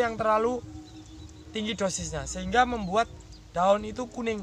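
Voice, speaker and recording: Music plays in the background. The speaker, in a Javanese accent, moves at a fairly quick pace. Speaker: farmer and farming channel host. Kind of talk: farming tutorial. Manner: fast speech as demonstration.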